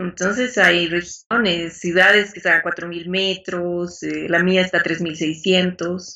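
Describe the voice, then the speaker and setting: Very slowly and with hardly any pauses, a woman talks in a fairly low pitch with monotone, flat intonation. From Bolivia. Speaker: Spanish teacher. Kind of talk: interview.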